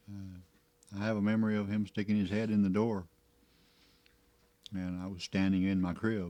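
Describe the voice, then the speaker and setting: Over a silent background in a very clean recording, a man talks at a moderate pace in a flat monotone, his fairly low voice dark and mellow in tone. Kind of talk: oral history interview.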